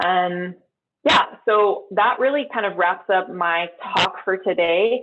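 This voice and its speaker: This is a woman speaking at a medium pitch. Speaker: keynote speaker, industry scientist. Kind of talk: keynote talk and Q&A. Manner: fast.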